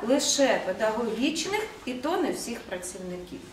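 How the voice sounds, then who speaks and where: Over light background noise and audible room echo, a woman speaks in a high pitch with very wide pitch swings. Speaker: education department official. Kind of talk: formal meeting presentation. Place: meeting room. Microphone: camera far.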